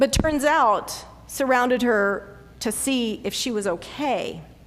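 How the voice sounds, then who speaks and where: A woman at a fairly high pitch with a Southern US accent, very slow pace, ordinary pitch variation, and audible room echo. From US South, North Carolina. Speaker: pastor. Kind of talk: sermon.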